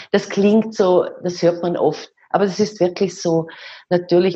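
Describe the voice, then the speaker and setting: A somewhat breathy woman's voice at medium pitch, monotone and flat in intonation, at a moderate pace. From Austria, rural. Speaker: dance teacher and author. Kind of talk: interview.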